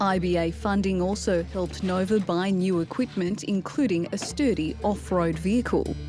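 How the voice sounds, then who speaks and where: With music in the background, a woman speaks at a moderate pace with hardly any pauses. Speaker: TV segment narrator. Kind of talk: TV documentary narration.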